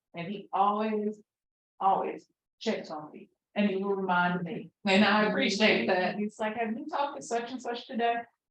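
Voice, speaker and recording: In a plain, everyday voice, a woman speaks at a moderate pace with medium pitch, ordinary pitch variation and big swings in loudness. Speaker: nonprofit staff member. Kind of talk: casual talk praising a colleague.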